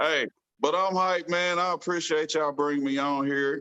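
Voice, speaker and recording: Ordinary pitch variation across a bright, sharp tone. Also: man. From US Midwest, Kansas City. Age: 40s. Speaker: financial advisor. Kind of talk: casual chat.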